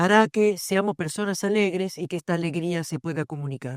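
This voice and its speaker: An unremarkable speaking voice moves at a moderate pace with lively intonation. The sound is dry and close with no echo, on a very clean recording with a silent background. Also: woman. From southern Italy. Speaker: philosophy professor. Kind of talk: panel discussion at book launch.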